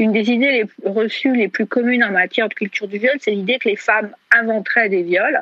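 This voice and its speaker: A normal speaking voice at a moderate pace with ordinary pitch variation. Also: woman. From France. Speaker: feminist writer. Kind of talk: interview.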